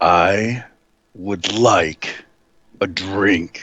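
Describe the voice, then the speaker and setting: A man uses a raspy put-on character voice with fairly low pitch and fairly even intonation. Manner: raised voice, demanding.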